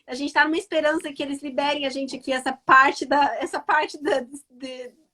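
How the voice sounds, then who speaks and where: Delivered at a fairly quick pace, the voice is raised and projected, bright and sharp in tone. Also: woman, high pitch for a woman. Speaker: travel vlogger and interviewer. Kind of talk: casual chat. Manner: animated.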